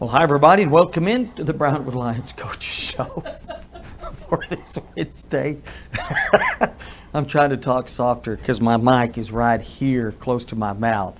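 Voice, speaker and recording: With an American accent, a man speaks at a moderate pace and medium pitch, with ordinary pitch variation. He leaves long, frequent pauses, and there is noticeable background noise. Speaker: radio host. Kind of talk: casual chat. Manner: loud. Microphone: close to the mouth.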